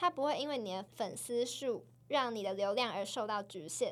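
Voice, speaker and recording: With an ordinary speaking voice, she talks at a moderate pace, her fairly high pitch rising and falling in ordinary measure. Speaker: podcast co-host. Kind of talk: casual chat.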